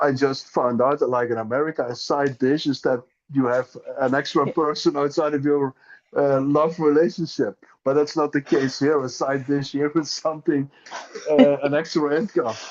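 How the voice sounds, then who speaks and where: Fairly even, fairly high male speech at a moderate pace. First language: Dutch. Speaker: Lenormand author and teacher. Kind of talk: casual interview chat. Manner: halting, with self-repeats.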